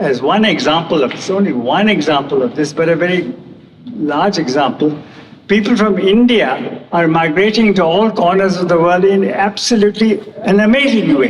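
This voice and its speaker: At a moderate pace, a man with a high voice and lively intonation keeps his loudness very even, amid audible room echo and noticeable background noise. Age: 80s+. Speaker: award lecturer. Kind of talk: lecture.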